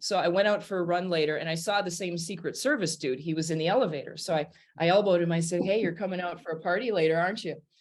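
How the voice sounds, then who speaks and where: Talking at a very fast pace with hardly any pauses, a woman speaks with a northern US accent. Her pitch is fairly low, with ordinary pitch variation. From US Midwest, Wisconsin. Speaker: jazz singer and pianist. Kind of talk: casual interview storytelling. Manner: animated.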